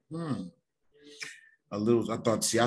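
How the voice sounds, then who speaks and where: A man with an American accent. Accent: sounds country. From California. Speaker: occult teacher. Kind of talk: lecture with reading aloud. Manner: halting.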